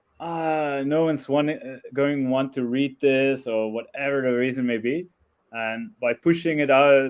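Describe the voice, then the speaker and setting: With a non-native accent, a man speaks at a fairly slow pace in a medium pitch. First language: not English. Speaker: blogger, web developer. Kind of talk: interview. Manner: hesitant, many fillers.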